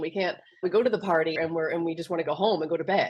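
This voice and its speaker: With a Canadian accent, a woman talks at a very fast pace. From Canada. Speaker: business mentor. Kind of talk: podcast interview.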